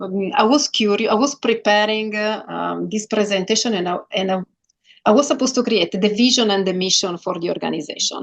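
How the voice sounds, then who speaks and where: A woman talks at a fairly quick pace. Her fairly high voice carries vocal fry. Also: ordinary pitch variation. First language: not English. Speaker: sales executive. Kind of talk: interview. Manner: halting.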